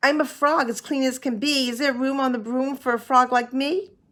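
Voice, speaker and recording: Putting on a croaky character voice, a woman speaks at a moderate pace in a high pitch. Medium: read story.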